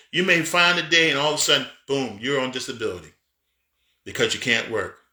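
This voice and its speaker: Very fast and animated, a man speaks in a bright, sharp tone with ordinary pitch variation. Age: 50s. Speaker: pastor and business coach. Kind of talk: motivational talk. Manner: halting.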